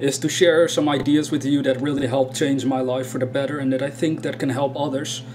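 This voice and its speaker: A fairly quick, monotone delivery with a strong Dutch accent and flat intonation over noticeable background noise. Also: man. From Netherlands. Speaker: spiritual YouTuber. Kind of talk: casual video talk. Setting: indoors in a room.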